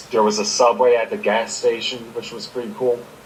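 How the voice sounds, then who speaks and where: The speaker has an American accent. Noticeable background noise runs under the voice. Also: man. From Maryland, US. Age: 20s. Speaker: podcast co-host. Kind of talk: casual chat.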